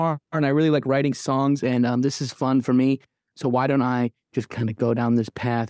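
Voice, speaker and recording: With an American accent and a fairly quick pace, this is a plain, everyday voice recorded with a dry, close sound and no echo. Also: man. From Michigan, Midland. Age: 30s. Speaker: musician. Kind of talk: interview conversation.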